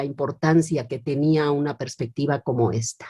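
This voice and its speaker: Her tone comes across as dark and mellow. This woman's pitch sits very deep and low. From Mexico, Morelia (Michoacán). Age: 50s. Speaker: philosophy professor and feminist writer. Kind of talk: interview. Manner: hesitant, many fillers.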